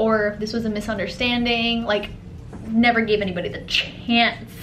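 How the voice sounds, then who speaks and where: Over noticeable background noise and audible room echo, a woman with an American accent speaks at a fairly high pitch. Her intonation is monotone and flat. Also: moderate pace. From grew up in a Middle Eastern country, then America. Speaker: lifestyle vlogger. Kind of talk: casual chat.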